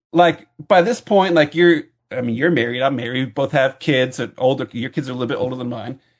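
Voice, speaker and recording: Speaking very fast, a man keeps to a medium pitch that varies in an ordinary way. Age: 40s. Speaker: podcaster, comics fan. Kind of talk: casual banter podcast. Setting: video call. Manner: joking, bantering.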